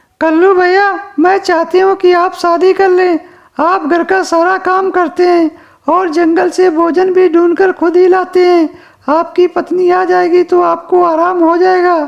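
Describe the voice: A cartoonish character voice at an extremely high pitch, monotone and flat, at a moderate pace.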